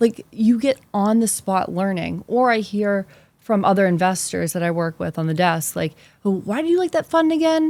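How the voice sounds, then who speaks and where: A woman with an American accent, medium pitch, and very wide pitch swings at a moderate pace. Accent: Boston accent, mostly hidden. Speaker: investment specialist. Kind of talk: interview conversation. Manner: animated.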